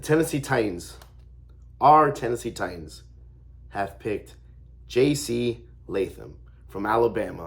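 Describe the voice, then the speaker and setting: There are long, frequent pauses as a man speaks with vocal fry at a medium pitch. His intonation is lively, and his loudness swings a lot. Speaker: sports fan youtuber. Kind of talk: casual vlog commentary. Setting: at home. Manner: hesitant with fillers.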